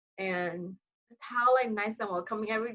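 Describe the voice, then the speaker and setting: Here is a woman with a Burmese accent. Her pitch is fairly high. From Myanmar (Kachin community). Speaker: international student, future teacher. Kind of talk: casual interview chat.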